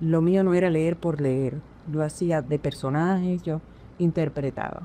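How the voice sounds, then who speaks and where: A woman speaks at a fairly slow pace in a fairly low pitch, with a dark, mellow tone and ordinary pitch variation. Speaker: veteran radio announcer, national radio prize winner. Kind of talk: interview answer, personal recollection.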